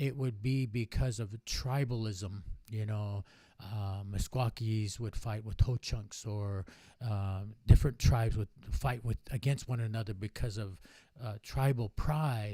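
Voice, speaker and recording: A man with a dark, mellow, somewhat breathy tone speaks at a fairly slow pace with fairly even intonation, in a very clean recording with a silent background. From Navajo Nation, US Southwest. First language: Navajo. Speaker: powwow organizer and academic. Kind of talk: casual interview chat.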